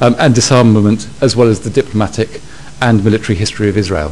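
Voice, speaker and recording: Some light background noise is present. The voice belongs to a man. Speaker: host introducing the lecturer. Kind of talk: formal introduction. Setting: lecture hall with audience. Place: hall.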